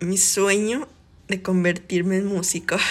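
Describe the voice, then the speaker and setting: Here a woman talks with a Mexican accent. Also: very clean recording, silent background. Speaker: podcast host. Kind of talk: personal monologue.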